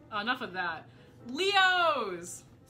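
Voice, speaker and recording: With faint music in the background, a woman's pitch swings very widely. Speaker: vlogger. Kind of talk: casual talk to camera. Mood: playful, joking rants. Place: home room. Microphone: phone near.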